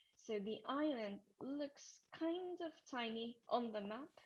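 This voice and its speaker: A woman speaks with a Japanese accent and a fairly high pitch. Her voice is somewhat breathy, with lively intonation. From Japan, Tokyo. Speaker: travel presenter. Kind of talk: webinar presentation. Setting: video webinar from a small office. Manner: hesitant, many fillers; soft-spoken. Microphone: too quiet, then changed microphone.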